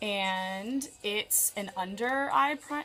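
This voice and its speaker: A woman speaks with an American accent at a medium pitch and with ordinary pitch variation. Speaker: makeup vlogger. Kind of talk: casual makeup tutorial. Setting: bedroom at parents' house. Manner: loud; chatty, many fillers.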